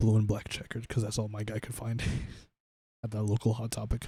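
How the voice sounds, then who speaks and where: Soft-spoken and somewhat breathy, a man talks at a very fast pace in a fairly low pitch with a dark, mellow tone and monotone, flat intonation, on a very clean recording with a silent background. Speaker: streamer. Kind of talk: casual chat. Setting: live stream.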